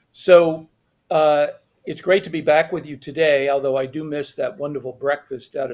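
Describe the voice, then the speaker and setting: Here is a man with an ordinary speaking voice, fairly high in pitch. He keeps a moderate pace with ordinary pitch variation. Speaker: tax agency liaison. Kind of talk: webcast presentation. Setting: webcast.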